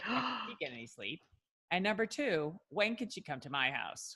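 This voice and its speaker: A woman with a slight New York accent, very wide pitch swings and a fairly quick pace. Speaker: podcast host, physician. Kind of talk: scripted guest introduction.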